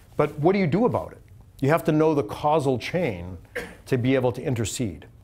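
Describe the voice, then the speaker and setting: Lively intonation and vocal fry mark a man talking at a fairly quick pace. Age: 60s. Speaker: computer science executive and speaker. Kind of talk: lecture. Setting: auditorium with audience. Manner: fast.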